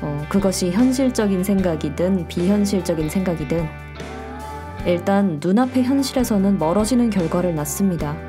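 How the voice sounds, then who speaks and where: Over music in the background, a woman with a medium pitch and ordinary pitch variation speaks at a moderate pace in a calm, gentle tone. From South Korea. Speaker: audio walk podcast host. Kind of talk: reflective podcast monologue. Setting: home studio.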